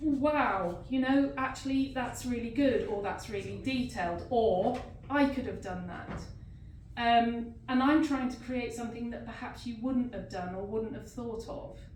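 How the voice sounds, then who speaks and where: Amid noticeable background noise and audible room echo, a woman with a high pitch talks at a fairly slow pace, her loudness swinging widely. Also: ordinary pitch variation. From England, London. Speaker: visual artist. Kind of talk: artist's talk to an audience. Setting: gallery reception with audience.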